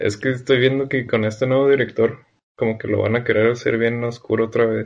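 Here a man talks at medium pitch and a moderate pace. His intonation is monotone and flat. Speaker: podcast host. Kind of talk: casual chat.

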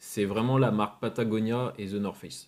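With a normal speaking voice, a man talks at a moderate pace and medium pitch, his intonation fairly even, on a very clean recording with a silent background. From France, Rennes (Brittany). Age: 20s. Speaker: entrepreneur, drink brand founder. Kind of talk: podcast interview.

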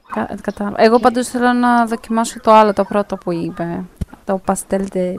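A woman with a normal speaking voice, medium in pitch, talks at a moderate pace with fairly even intonation. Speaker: podcast host. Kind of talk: casual chat.

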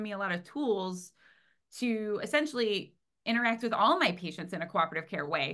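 Against a quiet background, a woman with an American accent speaks at a moderate pace, her fairly high pitch bright and sharp, her intonation lively. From US Midwest, Cleveland, Ohio. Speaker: veterinary technician and animal behavior consultant. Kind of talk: interview conversation.

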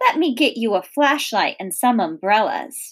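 A woman uses a put-on character voice with a slightly husky edge and fairly high pitch. She talks at a fairly slow pace with big pitch swings.

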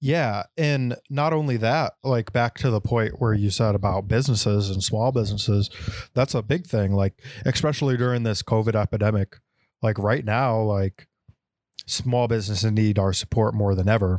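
This man has a plain, everyday voice, fairly low in pitch, with very even loudness, a dry, close sound with no echo, and a very clean recording against a silent background. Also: ordinary pitch variation, moderate pace. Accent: American. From Texas. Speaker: podcast co-host. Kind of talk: casual chat.

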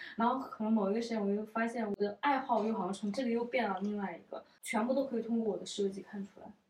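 A woman with a somewhat breathy, medium-pitched voice speaks at a very fast pace with fairly even intonation. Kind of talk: casual chat. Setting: at a friend's home.

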